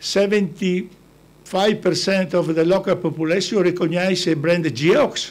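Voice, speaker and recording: A man speaks in a high pitch with an Italian accent. His pitch varies in an ordinary way. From Italy. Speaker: business founder. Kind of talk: talk to an audience. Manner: halting.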